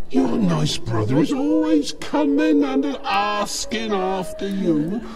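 Over clear background music, a man uses a cartoonish character voice at a high pitch. He speaks at a very slow pace. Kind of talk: comic character acting. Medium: puppet show. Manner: cloying, wheedling, condescending.

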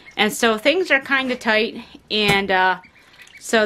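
A woman's voice with music in the background. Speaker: homesteader vlogger. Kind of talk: casual vlog chat. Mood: relaxed, cheerful. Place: home room. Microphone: phone near.

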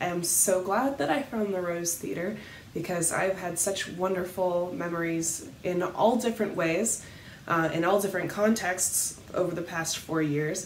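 A woman at a fairly slow pace, with audible room echo and light background noise. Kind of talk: personal reflection to camera. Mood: warm, cheerful. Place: home room. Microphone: webcam.

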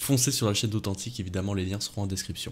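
This man talks at a fairly low pitch. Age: 20s. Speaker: manga YouTuber. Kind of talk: casual chat; casual podcast conversation. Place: home room. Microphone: studio mic.

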